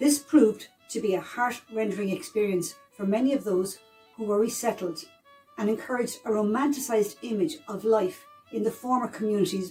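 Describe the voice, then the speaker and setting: Music plays behind a woman with an Irish accent. She talks at a moderate pace with ordinary pitch variation. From South East of Ireland. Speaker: historian. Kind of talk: educational history narration.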